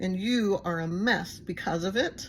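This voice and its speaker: With a Texas accent, a woman speaks with ordinary pitch variation on a very clean recording with a silent background. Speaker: recovery channel host. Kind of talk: casual monologue to viewers. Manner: rambling, filler-heavy.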